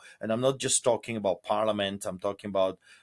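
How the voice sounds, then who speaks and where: Dry and close with no echo, a man speaks with ordinary pitch variation. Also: very clean recording, silent background. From Poland. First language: Polish. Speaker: pastor. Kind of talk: interview. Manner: animated.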